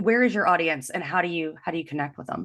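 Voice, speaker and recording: A woman speaks loudly in an animated tone. Her pitch swings very widely against a quiet background. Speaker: engineering leadership coach. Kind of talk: podcast interview.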